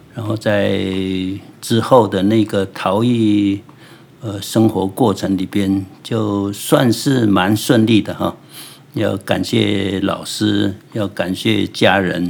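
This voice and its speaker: A man with a Taiwanese accent speaks at a very slow pace with a fairly low pitch and fairly even intonation. Noticeable background noise runs underneath. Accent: Taiwanese Mandarin. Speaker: ceramic artist. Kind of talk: interview. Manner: hesitant, many fillers.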